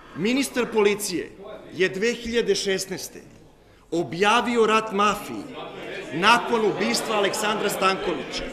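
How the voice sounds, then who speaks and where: Over noticeable background noise, a man with a high pitch uses a raised, projected voice at very even loudness, with ordinary pitch variation. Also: fairly slow pace. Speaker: city councillor, politician. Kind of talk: parliamentary speech. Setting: city assembly chamber. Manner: insistent, repeatedly interrupting. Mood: indignant, confrontational. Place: hall. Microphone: podium.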